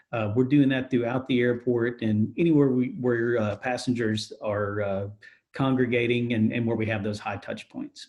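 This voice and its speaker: In a plain, everyday voice, a man speaks with fairly even intonation. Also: medium pitch for a man, moderate pace. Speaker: airport director of strategic marketing and communications, public information officer. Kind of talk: interview answer, corporate spokesperson.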